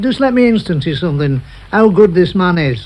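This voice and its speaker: A man with a Manchester accent speaks at a moderate pace in a high voice, his pitch swinging very widely. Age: 70s. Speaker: football chief scout. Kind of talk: radio interview answer.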